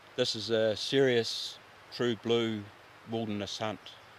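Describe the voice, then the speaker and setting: A man with a New Zealand accent, fairly low and monotone, flat in intonation, at a very slow pace. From New Zealand, South Island. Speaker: hunter. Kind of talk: casual chat. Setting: outdoors.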